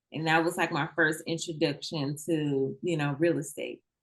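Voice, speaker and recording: A woman speaks with a slight Southern US accent. Her pitch is very deep and low, and her intonation stays fairly even. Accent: a little country (Southern US). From Mississippi. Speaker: real estate investor. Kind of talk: interview. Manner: casual, conversational.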